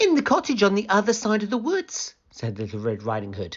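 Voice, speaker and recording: A man is speaking. His tone is gentle. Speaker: storybook narrator. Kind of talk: children's picture book read aloud. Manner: storytelling, gentle, clear.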